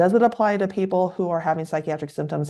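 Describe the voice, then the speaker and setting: A woman speaks with a Californian accent in a dark, mellow tone. The background is quiet. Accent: Californian, informal-sounding. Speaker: psychiatrist. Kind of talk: educational podcast interview. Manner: naturally musical, informal; quieter than usual.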